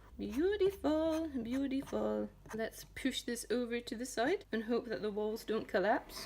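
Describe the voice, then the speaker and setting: A woman speaks with a Scottish accent at a moderate pace. Her voice is fairly high, with ordinary pitch variation. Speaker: home cooking tutorial host. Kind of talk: casual cooking tutorial to camera. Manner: playful, jokey.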